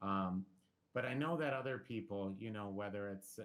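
In an ordinary speaking voice, a man talks at a moderate pace and fairly low pitch with ordinary pitch variation. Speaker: school district administrator. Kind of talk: presentation at school board meeting. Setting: video conference.

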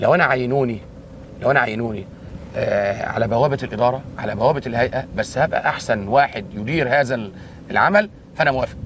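A man speaks at a moderate pace with ordinary pitch variation, the sound dry with no echo and only light background noise. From Egypt. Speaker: army engineering general. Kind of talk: on-site interview. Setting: outdoors. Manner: halting. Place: waterside.

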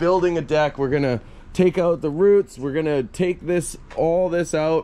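The man keeps to a moderate pace, and his pitch varies in an ordinary way. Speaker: diy vlogger. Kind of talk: casual vlog chat. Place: garden. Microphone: phone near.

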